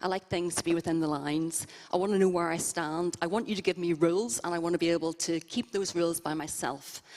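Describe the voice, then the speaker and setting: A woman speaks with a Northern Irish accent. Her voice is fairly low and her pace fairly quick. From Northern Ireland, Belfast. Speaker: interview guest at church service. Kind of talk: interview testimony. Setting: church service with congregation.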